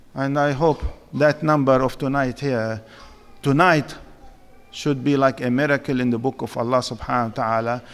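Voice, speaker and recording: Moderately paced speech from a man with a fairly high pitch. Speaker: Islamic lecturer. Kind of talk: sermon. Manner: loud; animated.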